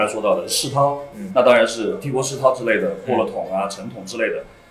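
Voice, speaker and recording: A man speaks amid noticeable background noise, with audible room echo around his voice. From Sichuan, Liangshan. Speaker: craft beer bar owner. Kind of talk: casual chat. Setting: recorded in his bar.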